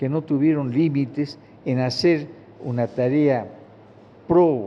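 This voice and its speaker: A man with a fairly high voice speaks very slowly. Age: 80s+. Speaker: retired trade unionist. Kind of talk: interview. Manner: halting.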